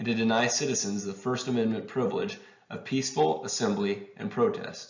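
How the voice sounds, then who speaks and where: Lively intonation marks very fast speech heard over noticeable background noise. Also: man. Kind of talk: reading of a historic letter. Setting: home recording, poor audio. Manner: amateur reading.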